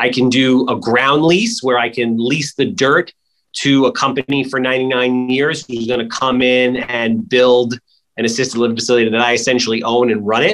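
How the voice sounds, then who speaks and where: A plain, everyday voice from a man, medium in pitch and moderate in speed, with fairly even intonation. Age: 40s. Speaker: real estate investor. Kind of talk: casual interview.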